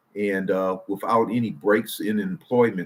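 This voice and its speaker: A man has an ordinary speaking voice with an American accent. He talks at a moderate pace in a fairly low pitch. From Detroit, US Midwest. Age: 60s. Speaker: IT professional and retirement channel host. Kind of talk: casual livestream talk. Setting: live stream. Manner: relaxed, with frequent fillers.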